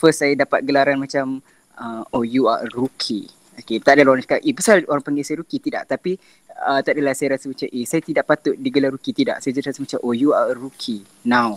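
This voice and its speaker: The sound is dry and close, without any echo. A man rattles off his words very fast. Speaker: singer and applied chemistry student. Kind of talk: casual podcast interview.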